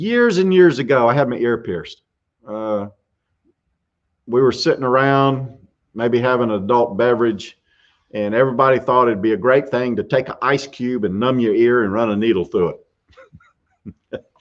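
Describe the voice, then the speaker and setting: A man with a Southern US accent talks at a moderate pace, leaving long, frequent pauses. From US South, South Carolina. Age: 60s. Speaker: YouTube show host, workamper. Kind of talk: live stream casual chat, answering questions. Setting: live stream from RV campground.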